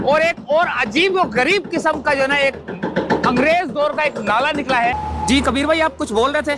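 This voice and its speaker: Over background music, a man projects a raised voice at an extremely high pitch, with ordinary pitch variation. His pace is moderate and his loudness very even. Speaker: YouTube reporter. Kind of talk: on-site field report. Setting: outdoors at construction site. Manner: loud, shouting over noise.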